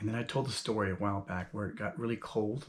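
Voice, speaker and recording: Somewhat breathy, a man talks at a very fast pace. His intonation is fairly even. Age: 50s. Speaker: YouTuber and self-published author. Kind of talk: casual monologue vlog. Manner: conversational with many fillers.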